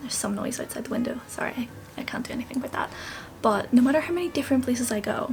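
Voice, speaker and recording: A woman's high-pitched voice at a very fast pace, with ordinary pitch variation and noticeable background noise. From Northern Ireland. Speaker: book vlogger. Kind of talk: casual vlog. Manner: animated.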